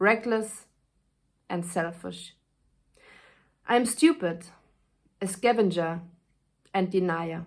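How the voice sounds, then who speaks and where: Very slowly and with long, frequent pauses, a woman with a German accent talks at a medium pitch with ordinary variation. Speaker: actress. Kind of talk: casual spoken intro; reading aloud of a speech. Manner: halting, with fillers.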